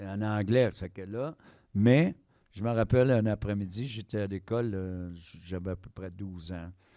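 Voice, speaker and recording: A man speaks at a fairly slow pace in a fairly low pitch, with ordinary pitch variation. His tone is dark and mellow against a quiet background. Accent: Quebec. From Quebec, Eastern Townships (Sherbrooke). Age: 60s. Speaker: harmonica player. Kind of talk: casual interview chat.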